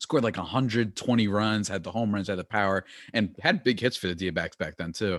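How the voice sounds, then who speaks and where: With a normal speaking voice, the speaker keeps a moderate pace and ordinary pitch variation on a very clean recording, dry and close with no echo and a silent background. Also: man, fairly low pitch for a man. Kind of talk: casual chat.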